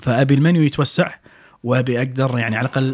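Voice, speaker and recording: A man talks at a fairly quick pace in a fairly high pitch, his voice somewhat breathy. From Kuwait. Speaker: restaurant owner and chef; podcast guest. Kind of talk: casual interview chat. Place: studio. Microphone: studio mic.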